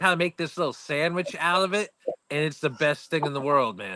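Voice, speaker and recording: Someone with an American accent speaks at a fairly quick pace in a bright, sharp tone. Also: man, dry, close sound with no echo. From USA. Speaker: vape reviewer, show co-host. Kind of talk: casual chat. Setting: live video stream.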